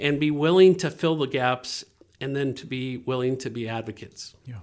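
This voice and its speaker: A man speaks in an unremarkable speaking voice at a moderate pace. His pitch is medium, with ordinary pitch variation. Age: 50s. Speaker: nonprofit ministry director. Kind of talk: interview.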